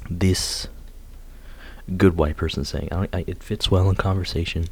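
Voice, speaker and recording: A man talks at a fairly slow pace. His voice is very deep and low. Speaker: youtuber. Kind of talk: casual monologue ranking slang. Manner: halting.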